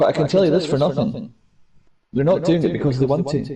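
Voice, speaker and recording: A man talks at a fairly quick pace in a fairly high pitch with ordinary pitch variation. His tone is dark and mellow, and somewhat breathy. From Scotland. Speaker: online gamer. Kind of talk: casual chat.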